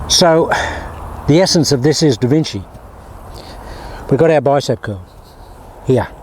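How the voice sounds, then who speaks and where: Against noticeable background noise, a man with a fairly high pitch talks at a moderate pace with lively intonation and long, frequent pauses. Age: 70s. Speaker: golf instructor. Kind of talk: tutorial. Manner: animated.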